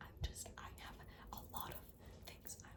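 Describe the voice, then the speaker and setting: Whispering at a moderate pace, a woman speaks. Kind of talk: casual talk to camera. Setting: recorded at night, ASMR-style mic. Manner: soft-spoken, quiet.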